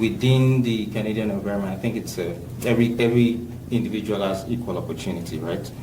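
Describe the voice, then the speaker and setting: Over noticeable background noise, a man talks at a very fast pace with a fairly low pitch and ordinary pitch variation. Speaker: community leader. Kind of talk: podcast interview answer.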